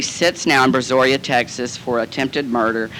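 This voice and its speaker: Talking at a fairly quick pace in a Southern US accent, a man is heard over noticeable background noise. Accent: Southern American. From Southern United States. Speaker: actor and comedian. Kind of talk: recovery meeting talk. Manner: campy, comic storytelling.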